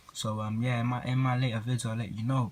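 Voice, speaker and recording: With a London accent, a man talks at a moderate pace and medium pitch with fairly even intonation. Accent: London, multicultural London English. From southeast London. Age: 20s. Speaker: boxing YouTuber and amateur boxer. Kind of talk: casual vlog commentary. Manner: hesitant, many fillers.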